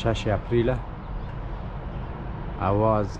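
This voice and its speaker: The speech is very slow, with noticeable background noise behind it. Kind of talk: casual vlog chat. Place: open country. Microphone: phone near.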